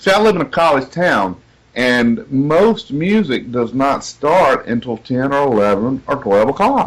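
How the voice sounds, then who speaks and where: Speaking fairly slowly with a Southern US accent, a man uses a fairly high voice that swings very widely in pitch. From US South, south Georgia. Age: 40s. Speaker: singer-songwriter. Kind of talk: interview.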